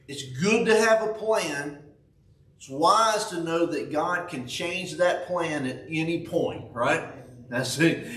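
A man speaks with ordinary pitch variation. Audible room echo and light background noise surround his voice. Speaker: preacher. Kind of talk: sermon. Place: church. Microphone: camera far.

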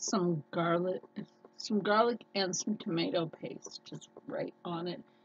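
Lively intonation marks this woman's medium-pitched voice. She speaks at a very slow pace over noticeable background noise. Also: big swings in loudness. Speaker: cooking vlogger. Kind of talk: casual chat. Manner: animated.

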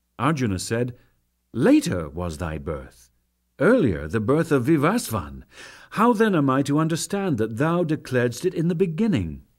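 In a very clean recording over a silent background, a man with a medium pitch and vocal fry speaks at a moderate pace, his pitch swinging very widely. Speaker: narrator. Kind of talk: dramatic scripture reading.

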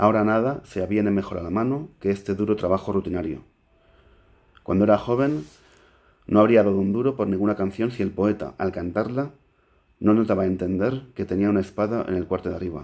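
A man's fairly low voice at a fairly quick clip, with ordinary pitch variation against a quiet background. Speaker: poet. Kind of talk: poetry reading. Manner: hesitant, stumbling intro. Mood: calm, measured. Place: home room. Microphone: webcam.

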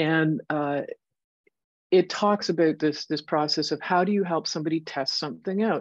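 Against a quiet background, a woman talks in a very deep, low voice. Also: ordinary pitch variation, moderate pace, dry sound with no echo. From Canada. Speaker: computer science professor. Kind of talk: lecture. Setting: video call. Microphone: video call.

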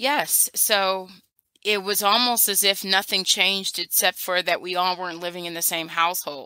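This woman has an American accent and a bright, sharp tone at medium pitch. Her intonation stays fairly even at a moderate pace on a very clean recording with a silent background. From US Midwest, Cleveland area, Ohio. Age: 40s. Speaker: educator. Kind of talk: oral history interview.

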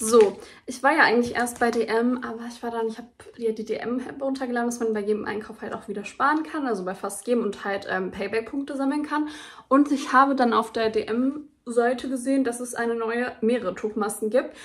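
Moving at a fairly quick pace, a woman speaks at a high pitch with fairly even intonation. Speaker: beauty vlogger. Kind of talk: casual haul vlog chat. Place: home room. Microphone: phone near.

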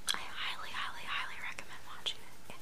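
A soft-spoken woman whispers at a fairly quick pace. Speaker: vlogger. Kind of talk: casual vlog chat. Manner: close soft whisper, chewing gum. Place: home room. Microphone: webcam.

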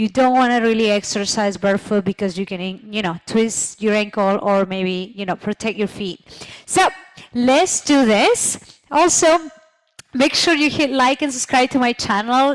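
A woman at a moderate pace, lively intonation against a quiet background. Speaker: fitness instructor. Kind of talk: workout instruction. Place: home room. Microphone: headset.

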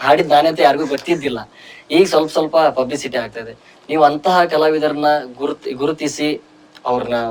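A man talks with fairly even intonation. His is an unremarkable speaking voice. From North Karnataka, Koppal district. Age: young. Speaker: music director and singer. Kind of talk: interview.

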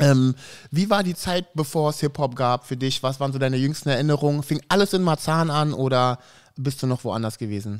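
Over a quiet background, a man talks at a fairly quick pace with a fairly high pitch and ordinary pitch variation. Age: 40s. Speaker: podcast host. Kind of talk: casual chat. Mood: relaxed, friendly. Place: studio. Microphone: studio mic.

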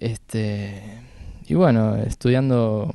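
Dry with no echo and set against a quiet background, a man's medium-pitched voice has a dark, mellow tone and fairly even intonation. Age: 20s. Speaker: jazz harmonica player. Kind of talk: casual interview. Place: studio. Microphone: handheld.

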